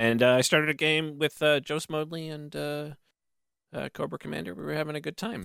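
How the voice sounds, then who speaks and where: A man with a Canadian accent, fairly high pitch and a bright, sharp tone, with big swings in loudness, in a very clean recording with a silent background and a dry, close sound with no echo. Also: ordinary pitch variation, fairly quick pace. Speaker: podcast co-host. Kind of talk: casual chat.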